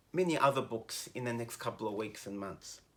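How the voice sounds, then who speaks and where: The tone is bright and sharp. The speaker has an Australian accent. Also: man. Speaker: teacher. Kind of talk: educational commentary.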